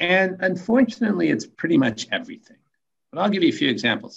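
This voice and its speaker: A man's fairly high-pitched voice with vocal fry. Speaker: neuroscience lecturer. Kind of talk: lecture. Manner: fast; informal, hesitant with fillers.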